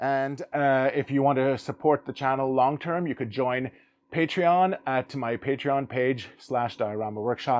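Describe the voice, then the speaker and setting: A man's medium-pitched voice, fairly slow in pace, with fairly even intonation. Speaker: diorama builder, channel host. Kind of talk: tutorial.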